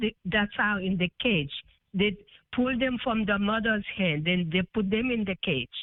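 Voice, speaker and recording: A non-native accent at a fairly slow pace. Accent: foreign. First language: not English. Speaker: caller. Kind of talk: phone call-in question. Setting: phone call. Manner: hesitant.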